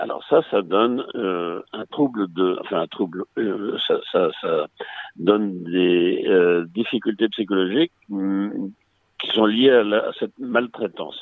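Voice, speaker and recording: Fairly low in pitch with ordinary variation, a man speaks at a very slow pace. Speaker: retired clinical psychologist. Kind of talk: interview.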